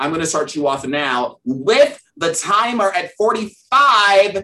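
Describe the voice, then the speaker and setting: Bright and sharp in tone, a man talks with very wide pitch swings and hardly any pauses. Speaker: podcast host. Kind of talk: casual interview chat.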